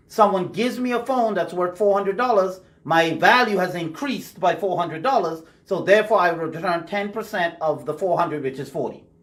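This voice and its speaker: A man speaks fairly quickly in a Bahamian accent, his voice pitched high. His pitch moves an ordinary amount, and background noise is noticeable. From Bahamas. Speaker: radio host discussing Bible teaching. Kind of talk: casual Bible study discussion. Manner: conversational.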